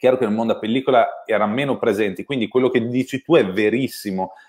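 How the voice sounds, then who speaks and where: A man talks fairly quickly, and the background stays quiet. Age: 30s. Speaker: camera expert; guest. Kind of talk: technical discussion. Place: home room.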